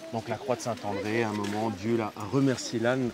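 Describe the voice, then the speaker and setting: Male speaker, fairly quick pace, noticeable noise in the background. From Spanish background. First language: Spanish (speaking French). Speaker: donkey trekking guide. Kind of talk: on-location TV interview, explaining. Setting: outdoors at campsite with donkeys and children.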